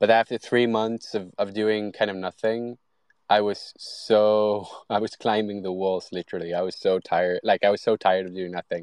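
Against a quiet background, a man with a Swedish accent speaks at a moderate pace in a fairly low pitch, his intonation monotone and flat, the sound dry and close with no echo. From Sweden. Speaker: product designer and AI content creator. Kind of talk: casual interview. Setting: online audio space.

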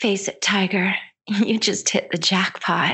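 Using a put-on character voice, a female-sounding speaker talks fairly slowly in a raspy tone at a medium pitch. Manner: cocky, flirty.

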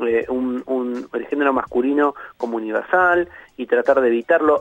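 A man with an ordinary speaking voice at a moderate pace with ordinary pitch variation, in a dry, close sound with no echo. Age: 40s. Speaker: philosopher and university lecturer. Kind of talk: radio interview.

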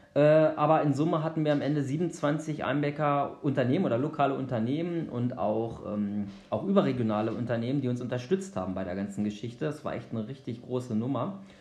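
With lively intonation and hardly any pauses, a man at medium pitch speaks at a fairly quick pace amid audible room echo. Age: 40s. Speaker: obstacle race organiser. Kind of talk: podcast interview.

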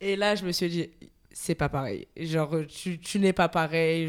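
Here a woman speaks at a moderate pace in a fairly low voice. Her intonation is fairly even, and the recording is very clean with a silent background. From France, Marseille. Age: 20s. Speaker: communications graduate, podcast guest. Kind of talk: casual chat. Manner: hesitant, many fillers, laughs often.

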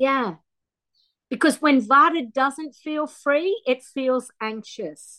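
Using a raised, projected voice, a woman speaks at a very slow pace with a high pitch and lively intonation. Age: 50s. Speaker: Ayurveda practitioner. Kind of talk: casual chat.

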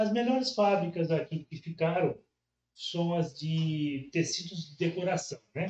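A man speaks at a fairly slow pace. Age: 60s. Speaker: business owner. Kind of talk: interview.

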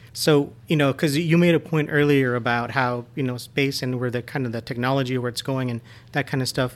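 A man speaks in a normal speaking voice at a fairly quick pace, with medium pitch and fairly even intonation. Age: 40s. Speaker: podcast guest. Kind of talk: casual chat.

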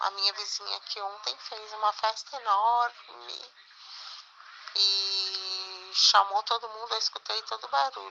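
Against noticeable background noise, a woman at a medium pitch speaks fairly slowly with fairly even intonation. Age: 50s. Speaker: interview guest. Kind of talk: interview answers. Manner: halting.

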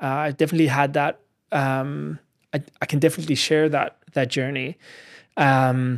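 In a very clean recording with a silent background, a man with a fairly high pitch talks at a fairly slow pace in a monotone with flat intonation. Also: dry, close sound with no echo. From South Africa. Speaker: film director and musician. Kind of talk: casual chat. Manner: halting.

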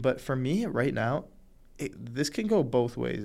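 In a very clean recording with a silent background, a man with a Canadian accent has a plain, everyday voice at medium pitch and a moderate pace. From Canada. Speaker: hockey podcast co-host. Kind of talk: casual sports chat.

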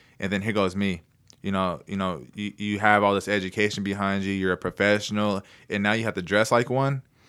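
An unremarkable speaking voice, a man with an American accent talks at a fairly quick pace in a fairly low pitch with fairly even intonation on a very clean recording with a silent background. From Oklahoma, Anadarko area. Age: 20s. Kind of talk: casual chat. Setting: studio.

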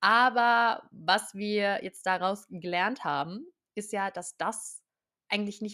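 Very cleanly recorded over a silent background, this animated voice has a bright, sharp tone and ordinary pitch variation. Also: woman. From southern Germany, near Stuttgart. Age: 20s. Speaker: podcast host, hypnosis coach. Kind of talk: self-help monologue.

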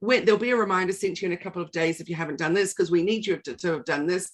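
This is a woman's voice. She speaks in a New Zealand accent. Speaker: podcast co-host, digital marketing trainer. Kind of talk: casual chat.

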